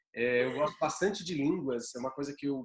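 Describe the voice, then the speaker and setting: This man's voice sits at a fairly high pitch. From São Paulo interior, Bauru. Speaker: yoga teacher and aromatherapy guest. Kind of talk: casual chat.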